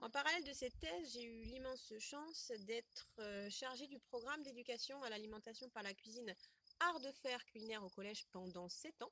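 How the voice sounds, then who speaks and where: A woman's high-pitched voice comes across with a dry, close sound and no echo. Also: ordinary pitch variation, moderate pace. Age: 30s. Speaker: educational project manager and marketing trainer. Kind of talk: interview answer.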